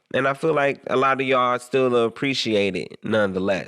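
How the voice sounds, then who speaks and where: In a very clean recording with a silent background, a man talks at a fairly quick pace with a medium pitch and a bright, sharp tone. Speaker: radio show host and studio owner. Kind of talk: casual solo podcast talk. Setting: recording studio. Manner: slurs words; casual, filler-heavy, repetitive.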